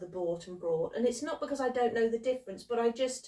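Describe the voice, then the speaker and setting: A woman's fairly high voice with a British accent and ordinary pitch variation. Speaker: YouTube creator and co-host. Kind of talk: casual chat.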